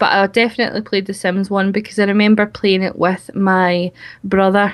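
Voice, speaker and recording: A woman with a strong Scottish accent, medium pitch, monotone, flat intonation and a fairly quick pace. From Scotland. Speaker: YouTuber, game video creator. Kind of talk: interview.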